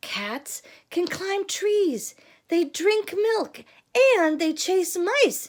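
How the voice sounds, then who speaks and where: A squeaky, put-on character voice, female-sounding, with an extremely high pitch and a very slow pace. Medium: read story. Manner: cheerful, teacherly.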